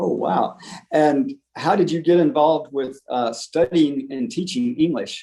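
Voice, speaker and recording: In a plain, everyday voice, a man with an American accent talks at a fairly slow pace, fairly high in pitch for a man, with ordinary pitch variation. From United States. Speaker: English teacher. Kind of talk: casual chat.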